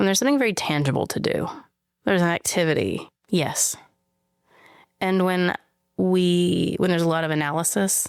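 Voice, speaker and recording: A woman with a Southern US accent talks at a fairly quick pace, with long, frequent pauses, very even loudness, and a fairly low pitch with ordinary pitch variation. The recording is very clean, with a silent background. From rural Western Kentucky. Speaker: social justice activist and artist. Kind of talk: interview conversation. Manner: reflective, conversational.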